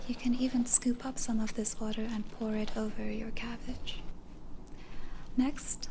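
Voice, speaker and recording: The voice is soft-spoken with a calm tone and monotone, flat intonation. Noticeable background noise is present. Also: woman. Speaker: ASMR content creator. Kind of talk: ASMR cooking tutorial. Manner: soft-spoken, calm.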